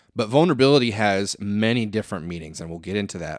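Speaking in an American accent with an unremarkable speaking voice, a man talks at a fairly quick pace and fairly low pitch with lively intonation, on a very clean recording with a silent background and a dry, close sound with no echo. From Flint, Michigan. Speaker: podcast host. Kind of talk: casual monologue.

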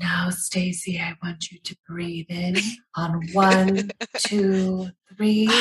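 A woman's put-on character voice, very slow, medium-pitched and flatly monotone. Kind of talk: slow, measured. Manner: calm, soothing, guiding.

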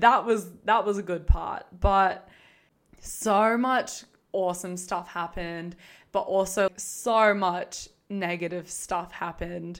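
A woman with an Australian accent speaks at a very slow pace and medium pitch. The recording is very clean, with a silent background. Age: 20s. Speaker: podcast host, former reality TV contestant. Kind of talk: casual monologue. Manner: animated.

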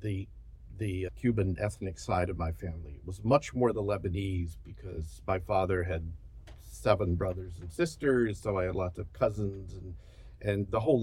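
Speaking at a moderate pace with an American accent, a man has a very deep, low pitch, ordinary pitch variation, and vocal fry. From US South. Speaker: professor. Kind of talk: interview conversation.

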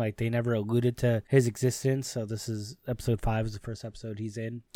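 Man speaking at a fairly quick pace, in a dry, close sound with no echo. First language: Spanish. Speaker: anime podcast host. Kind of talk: casual solo podcast recap. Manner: casual, many filler words.

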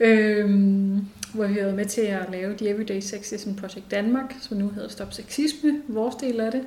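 Amid noticeable background noise and audible room echo, a woman talks at a moderate pace with a fairly high pitch and ordinary pitch variation. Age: 30s. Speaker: women's rights organisation chair. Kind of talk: interview. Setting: organisation's office.

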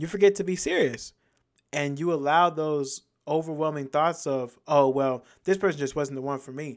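A man with a fairly high pitch and an ordinary speaking voice, fairly even intonation and big swings in loudness, on a very clean recording with a silent background. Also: moderate pace. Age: 20s. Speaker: podcast host. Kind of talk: casual solo monologue.

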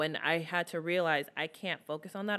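A woman with a normal speaking voice, pitched fairly low, at a moderate pace. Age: 30s. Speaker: makeup artist and beauty influencer. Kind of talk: casual chat.

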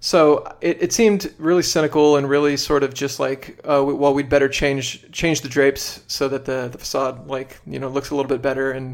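A man with a plain, everyday voice and an American accent, fairly high in pitch, fairly quick, with fairly even intonation and hardly any pauses. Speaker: podcaster, former socialist activist. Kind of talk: casual interview chat.

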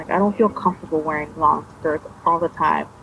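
With noticeable background noise, a woman talks at a fairly low pitch with ordinary pitch variation. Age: 30s. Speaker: former cult member. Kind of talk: testimony; casual chat.

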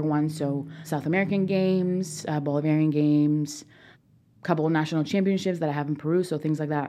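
With a Spanish accent, a woman speaks at a very fast pace in a very deep, low pitch. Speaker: college recruiting specialist, former rower. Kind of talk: casual interview.

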